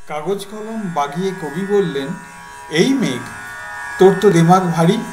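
A high-pitched man's voice with music in the background. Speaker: reciter. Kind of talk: poetry reading.

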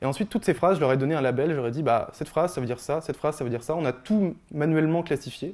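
Hardly any pauses break up a man's very fast pace, and his pitch variation is ordinary. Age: 20s. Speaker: software developer giving a tech talk; speaker. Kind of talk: presentation talk. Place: hall. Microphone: handheld.

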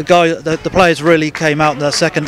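A man's fairly bright, fairly high-pitched voice with little pitch movement at a fairly quick pace, over faint background noise.

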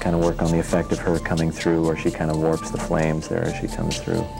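Over clear music in the background, a man speaks with a very deep, low pitch. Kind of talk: interview answer. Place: office. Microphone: lapel.

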